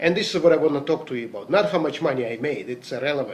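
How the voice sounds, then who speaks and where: A man with a non-native accent and ordinary pitch variation. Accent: noticeable foreign. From Latvia (Riga), former Soviet Union. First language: Russian. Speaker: network marketing distributor, salesman. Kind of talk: motivational talk.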